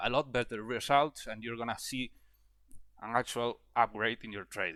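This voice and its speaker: A man with a non-native accent and a bright, sharp tone talks at a fairly quick pace and medium pitch with fairly even intonation, in a very clean recording with a silent background. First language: not English. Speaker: trading educator. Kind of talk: tutorial. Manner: halting, with fillers and repetitions.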